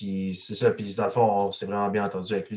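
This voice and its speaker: A man talks against a quiet background. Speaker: metal band musician. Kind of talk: casual chat.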